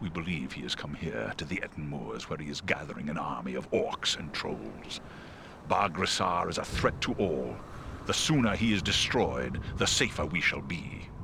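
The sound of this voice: A man puts on a character voice with an extremely low pitch and vocal fry, speaking at a moderate pace with lively intonation over clear background noise.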